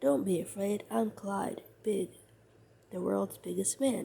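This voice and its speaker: Using a put-on character voice of medium pitch, a woman speaks at a fairly slow pace with a warm, gentle tone. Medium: read story.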